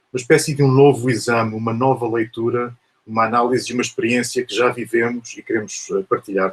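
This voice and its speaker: Somewhat breathy, a man speaks at a medium pitch and moderate pace with a European Portuguese accent. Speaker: professor. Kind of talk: lecture. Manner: hesitant, many fillers.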